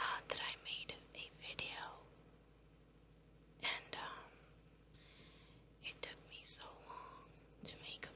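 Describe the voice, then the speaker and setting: Noticeable background noise accompanies whispering delivered at a very slow pace. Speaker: ASMR creator. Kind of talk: casual talk to camera. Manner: whispered.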